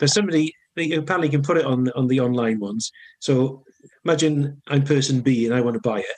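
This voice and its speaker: Delivered at a very fast pace, the speech carries a strong Welsh accent and ordinary pitch variation. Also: man, fairly high pitch for a man. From north Wales, now lives in Cardiff. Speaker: songwriter musician. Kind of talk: casual interview chat.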